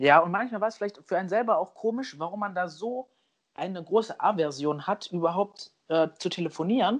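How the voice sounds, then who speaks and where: A man talks at a fairly quick pace. His pitch is high, with ordinary pitch variation. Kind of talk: casual chat.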